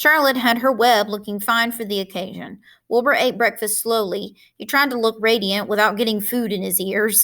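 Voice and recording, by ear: The speaker reads aloud. It is done in a natural voice.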